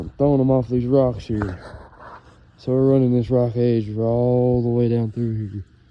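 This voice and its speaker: With a Kentucky accent, a man speaks at a medium pitch with fairly even intonation. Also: moderate pace. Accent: Kentucky rural Southern US. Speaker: fishing video creator. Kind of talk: casual outdoor fishing commentary. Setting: outdoors on a lake shore.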